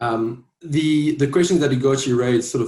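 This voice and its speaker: Speaking fairly quickly with a South African accent, a man talks in a somewhat breathy voice with ordinary pitch variation. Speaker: policy advisor and politician. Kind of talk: mentorship panel talk. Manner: hesitant, many fillers.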